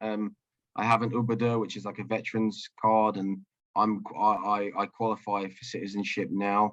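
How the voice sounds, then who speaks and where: A man with an English accent speaks at a moderate pace and a fairly low pitch. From London, England. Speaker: soldier and interpreter. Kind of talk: video call interview. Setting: video call. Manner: halting.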